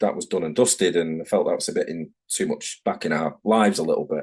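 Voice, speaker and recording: A man with a Manchester accent at a fairly quick pace. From northern England, Manchester. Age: 40s. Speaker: tattoo artist. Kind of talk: casual interview chat. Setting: video call.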